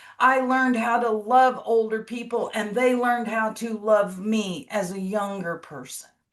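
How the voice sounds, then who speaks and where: A woman with an American accent has an ordinary speaking voice at a fairly high pitch. She talks at a fairly slow pace with ordinary pitch variation. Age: 60s. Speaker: long-term care administrator. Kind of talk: panel discussion.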